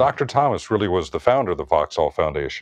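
With an American accent and an ordinary speaking voice, a man speaks at a fairly low pitch with lively intonation against a quiet background. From US, Washington DC. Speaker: cardiologist. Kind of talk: interview.

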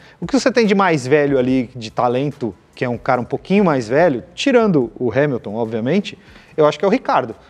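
Very wide pitch swings in a fairly high male voice. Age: 40s. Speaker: automotive TV and YouTube presenter. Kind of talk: casual chat.

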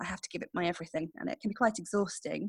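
Speaking with an English accent, a woman uses lively intonation, and the sound is dry and close with no echo. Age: 40s. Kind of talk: interview monologue.

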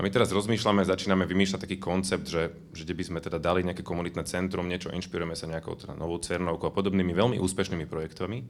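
A man's very deep, low voice at a very fast pace, monotone and flat, with hardly any pauses. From Bratislava, Slovakia. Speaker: youth worker, audience member. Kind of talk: question from audience.

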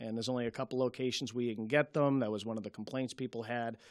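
This man speaks at a medium pitch with a Boston accent. The recording is very clean with a silent background and a dry, close sound with no echo. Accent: Boston-area. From Malden, Massachusetts. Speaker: city councilor. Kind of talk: local TV interview. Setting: TV studio.

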